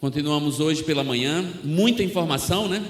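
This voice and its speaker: With a Northeastern Brazilian accent, a man talks at a fairly slow pace in a fairly high pitch, using ordinary pitch variation. Noticeable background noise and audible room echo surround him. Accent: Northeastern Brazilian (Alagoas). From Brazil, Alagoas (Northeast), near Maceió. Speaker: missionary preacher. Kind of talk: sermon.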